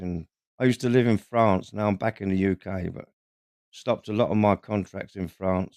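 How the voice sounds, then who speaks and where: Moderate pace and fairly even intonation in a dry, close sound with no echo. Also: man. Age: 60s. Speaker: builder and YouTuber. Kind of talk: casual interview chat on livestream. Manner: halting, repeats words.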